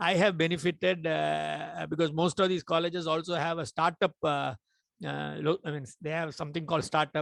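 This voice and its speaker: With an ordinary speaking voice, a man of fairly high pitch talks at a moderate pace in a dry, close sound with no echo. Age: 60s. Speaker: entrepreneur. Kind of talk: webinar discussion.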